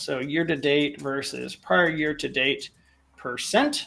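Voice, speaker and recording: This man's voice sits fairly high and has a bright, sharp tone along with vocal fry. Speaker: data visualization presenter. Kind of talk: tutorial.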